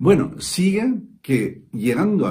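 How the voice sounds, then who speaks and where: A man speaks very slowly in a dark, mellow tone with vocal fry and very wide pitch swings. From Spain (Valencia); Spain. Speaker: musician; coach. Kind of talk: testimonial. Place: studio. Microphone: phone near.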